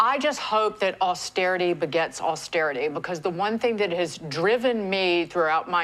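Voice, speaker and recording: Speaking in a plain, everyday voice, a woman uses lively intonation. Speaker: TV news panel co-host. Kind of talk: panel discussion.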